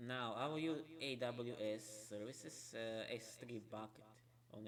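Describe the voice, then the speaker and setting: Speaking with a non-native accent, a man delivers his words at a fairly slow pace with fairly even intonation. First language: not English. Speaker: software developer streamer. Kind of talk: live coding stream tutorial. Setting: late night live stream. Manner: halting, many fillers.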